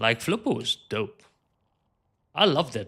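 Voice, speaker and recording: A man speaks at a moderate pace with an animated, bright, sharp tone. Vocal fry runs through his voice. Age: 30s. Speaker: video game streamer. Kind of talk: live game stream chat.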